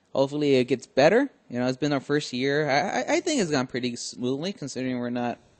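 A man with an American accent speaks very fast, with hardly any pauses. His pitch sits fairly high and varies in an ordinary way. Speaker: podcast host. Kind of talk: casual chat.

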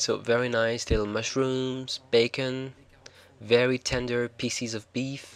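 A man speaks at medium pitch with a French accent. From France. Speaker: cooking show host. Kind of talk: cooking tutorial voiceover. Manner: hesitant, with fillers.

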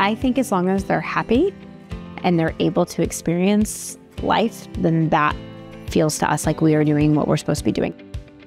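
A woman speaks at a moderate pace with a very deep, low pitch and ordinary pitch variation. The sound is dry with no echo, and faint music plays in the background. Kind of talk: interview answer. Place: home room. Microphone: lapel.

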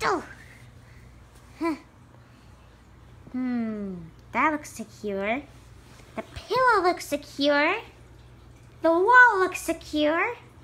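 In a cartoonish character voice, a man speaks at an extremely high pitch with very wide swings, very slowly, leaving long, frequent pauses. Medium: puppet. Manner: muttering to himself, excitable.

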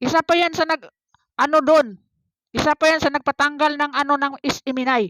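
At a moderate pace, a woman talks in a high voice with ordinary pitch variation, the sound dry and close with no echo. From Philippines, Davao City. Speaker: political vlogger. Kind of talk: reaction vlog commentary. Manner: hesitant, many fillers.

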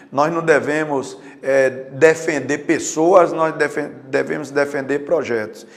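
The man speaks at a very slow pace. His fairly high pitch carries fairly even intonation. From Juazeiro, Bahia, Brazil. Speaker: retired police colonel, mayoral pre-candidate. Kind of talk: interview.

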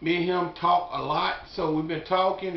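Someone speaks at a moderate pace, with audible echo from the room. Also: man. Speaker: barbecue cook vlogger. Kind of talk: casual vlog chat. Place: home room. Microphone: phone near.

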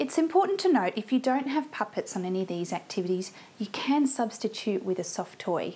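A woman talks at a fairly quick pace. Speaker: music teacher. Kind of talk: tutorial. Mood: warm, cheerful. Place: home room. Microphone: lapel.

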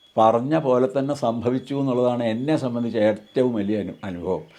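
A man's dark, mellow tone over a quiet background. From Kerala, Palakkad district (Ottapalam). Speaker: former temple head priest. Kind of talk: testimony. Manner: halting.

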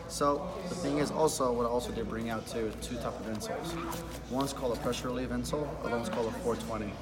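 Very fast speech from a man against loud background noise. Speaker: shoe salesman. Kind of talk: in-store sales explanation. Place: shop. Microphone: phone near.

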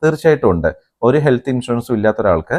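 Against a quiet background, a man with a normal speaking voice talks with lively intonation. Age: 40s. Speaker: YouTube explainer host. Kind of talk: tutorial.

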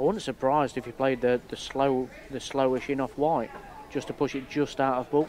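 With noticeable background noise behind him, a man speaks at a fairly quick pace, his medium pitch held to fairly even intonation. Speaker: billiards player and co-commentator. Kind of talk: technical co-commentary, measured expert analysis. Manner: measured, explanatory, technical.

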